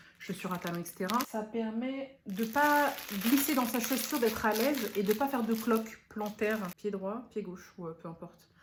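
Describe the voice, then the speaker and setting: A woman's fairly high, somewhat breathy voice with an animated tone, ordinary pitch variation and a moderate pace. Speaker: beauty and lifestyle YouTuber. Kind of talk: unboxing vlog.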